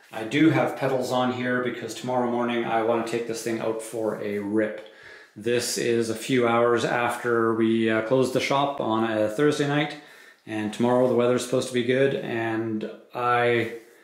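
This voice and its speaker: A man at a moderate pace with fairly even intonation, audible room echo and a quiet background. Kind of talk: product review commentary. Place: shop.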